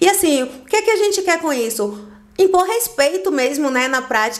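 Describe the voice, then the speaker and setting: A woman's high voice with a Bahian accent, lively intonation, and a moderate pace. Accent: Bahian Brazilian Portuguese. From Bahia, Brazil (Salvador). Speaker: physical education instructor. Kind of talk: podcast interview.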